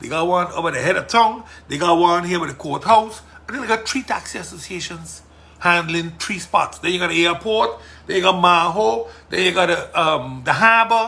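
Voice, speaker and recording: A loud man with a Sint Maarten accent speaks at a fairly quick pace in a high voice, with lively intonation over noticeable background noise. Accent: Sint Maarten Caribbean English. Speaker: politician and podcast host. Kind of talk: casual monologue podcast. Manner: forceful.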